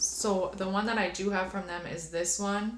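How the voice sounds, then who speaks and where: At a fairly slow pace, a woman speaks at medium pitch, with audible room echo and noticeable background noise. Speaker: beauty youtuber. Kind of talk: haul video, casual chat to camera. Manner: animated.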